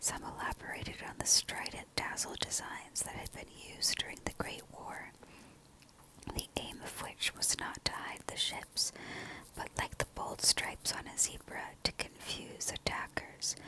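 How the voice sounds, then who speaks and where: A whispered voice goes along fairly slowly. Behind it sits noticeable background noise. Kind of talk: whispered audiobook-style reading of a book passage. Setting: home recording with background noise such as planes and a heater.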